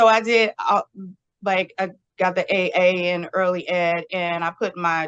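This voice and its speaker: In a plain, everyday voice, a woman speaks at a fairly slow pace and medium pitch with fairly even intonation, the sound dry and close with no echo. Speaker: early childhood educator and school principal. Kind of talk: interview answer.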